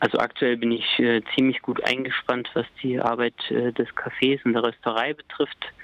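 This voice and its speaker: A man talks at a moderate pace with a medium pitch and very even loudness. His intonation is monotone and flat. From Thuringia, Germany. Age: 30s. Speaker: café owner and coffee roaster. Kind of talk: interview. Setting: phone call. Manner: hesitant, many filler sounds.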